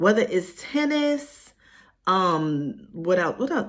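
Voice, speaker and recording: A woman with a New York accent speaks at a medium pitch, somewhat breathy, with very wide pitch swings. The recording is very clean with a silent background. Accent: New York City. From Harlem, New York. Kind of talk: casual talk to camera. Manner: casual, chatty.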